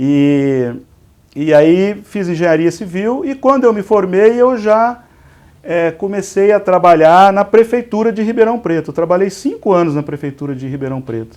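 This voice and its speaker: A high-pitched male voice with a Minas Gerais accent, lively intonation and a moderate pace. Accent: somewhat mineiro (Minas Gerais). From interior of São Paulo state (Igarapava, Minas Gerais border). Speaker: pharmacy industry executive, civil engineer. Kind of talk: interview. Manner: halting, repeats words.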